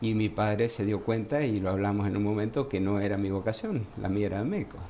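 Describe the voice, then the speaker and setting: In an Argentine accent, a man with a fairly low pitch and a dark, mellow tone speaks with ordinary pitch variation. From Argentina, Entre Ríos province. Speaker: gynecologist. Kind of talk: interview.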